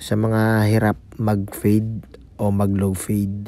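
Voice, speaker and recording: Over music in the background, a man talks at a fairly low pitch. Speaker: barber vlogger. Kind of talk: tutorial. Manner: casual, filler-heavy.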